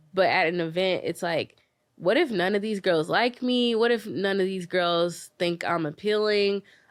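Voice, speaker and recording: A plain, everyday voice with an American accent, a moderate pace and ordinary pitch variation. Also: woman, medium pitch for a woman. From US South (Memphis, Tennessee). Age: 20s. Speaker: dating events founder. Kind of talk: podcast interview.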